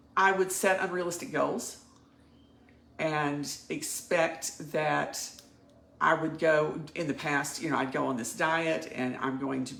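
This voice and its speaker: Amid noticeable background noise and audible room echo, a woman speaks at a fairly slow pace with a very deep, low pitch and ordinary pitch variation. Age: 60s. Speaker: coaching client. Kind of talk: personal testimony.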